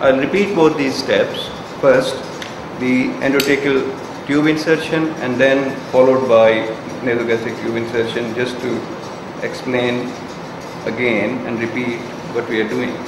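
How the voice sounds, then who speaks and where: The voice moves at a fairly slow pace with fairly even intonation and long, frequent pauses, heard with audible room echo and noticeable background noise. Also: man. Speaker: clinician demonstrating equipment. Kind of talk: tutorial. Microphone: camera far.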